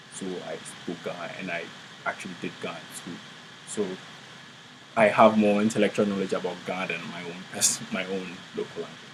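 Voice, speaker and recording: A man's fairly low, monotone voice with big swings in loudness, long and frequent pauses, a moderate pace, and noticeable background noise. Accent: Ghanaian. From Ghana. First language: Twi. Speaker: graduate student in anthropology. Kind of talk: interview. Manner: halting.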